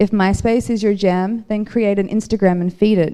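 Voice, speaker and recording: Her intonation is monotone and flat. The woman has a medium pitch and a dark, mellow tone. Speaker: artist giving a talk. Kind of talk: prepared speech to audience. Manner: fast.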